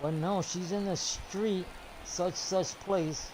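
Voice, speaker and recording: Noticeable background noise and audible room echo accompany a man talking fairly slowly. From New York. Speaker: gaming streamer. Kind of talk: casual chat. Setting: live stream. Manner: animated.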